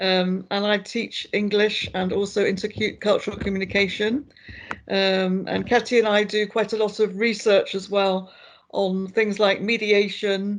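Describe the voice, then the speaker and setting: A woman with a British accent speaks at medium pitch. Her pace is fairly slow and her intonation monotone and flat. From Britain. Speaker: lecturer. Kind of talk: online workshop.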